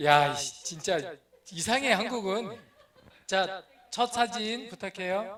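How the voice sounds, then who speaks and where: There is audible room echo as a man speaks. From Korea, Chungcheong (North Chungcheong, Boeun). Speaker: missionary pastor. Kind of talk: sermon. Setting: church. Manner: slow speech.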